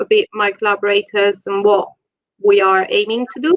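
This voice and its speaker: This woman talks fairly quickly with an Italian accent. Her pitch is fairly high and her intonation fairly even. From Italy, Rome. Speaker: genetics researcher. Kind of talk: lecture.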